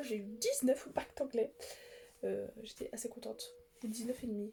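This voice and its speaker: Mumbling, a woman speaks at a fairly high pitch. Her pitch varies in an ordinary way. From France. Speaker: YouTuber. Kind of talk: casual vlog talk. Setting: seated in armchair at home. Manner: halting, many fillers and restarts; mumbles words.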